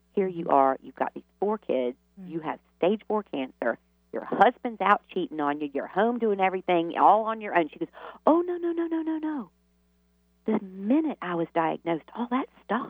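Speaking in a Southern US accent, a woman with medium pitch makes very wide pitch swings. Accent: Southern US drawl. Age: 50s. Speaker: author and healer. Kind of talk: radio interview.

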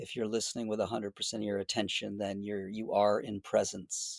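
A man's fairly low, monotone voice with flat intonation and an American accent, on a very clean recording with a silent background. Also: dry, close sound with no echo. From Boston. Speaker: clinical psychologist. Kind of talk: interview conversation.

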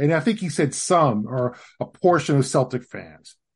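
A somewhat breathy voice over a quiet background. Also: man. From Los Angeles. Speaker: basketball writer. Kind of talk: casual chat. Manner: halting.

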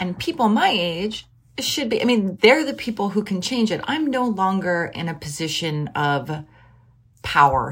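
A woman with a fairly low pitch and vocal fry speaks with very wide pitch swings, in a very clean recording with a silent background. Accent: American. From Philadelphia, US. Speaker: writer and editor, podcast host. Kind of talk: casual interview chat.

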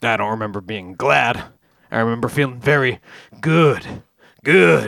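Speaking at a moderate pace, a man uses lively intonation at a medium pitch.

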